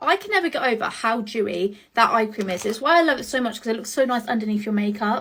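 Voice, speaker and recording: Noticeable background noise sits behind a woman with a British accent who speaks very fast at a fairly high pitch with ordinary pitch variation. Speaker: beauty content creator. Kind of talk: get ready with me vlog. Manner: rushed.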